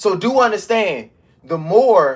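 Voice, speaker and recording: A man talks in an animated tone with lively intonation. The recording is very clean, with a silent background. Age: 30s. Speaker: fitness coach. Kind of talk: live stream talk.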